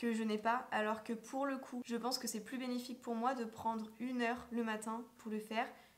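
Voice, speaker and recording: A woman's fairly high voice at a moderate pace amid noticeable background noise. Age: 20s. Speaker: vlogger and business coach. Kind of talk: casual vlog talk to camera. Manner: hesitant, many fillers.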